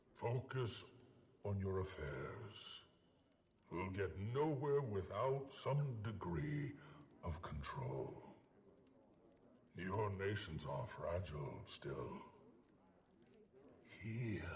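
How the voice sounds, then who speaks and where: Using a put-on character voice, a man talks at a very slow pace and fairly low pitch, with long, frequent pauses. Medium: video game. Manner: solemn, measured.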